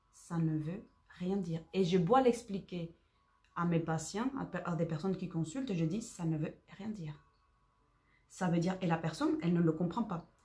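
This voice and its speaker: This somewhat breathy voice has a dark, mellow tone, a non-native accent and ordinary pitch variation. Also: woman. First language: not French (speaking French). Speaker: psychic medium. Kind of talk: spiritual guidance talk. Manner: hesitant, repeats words.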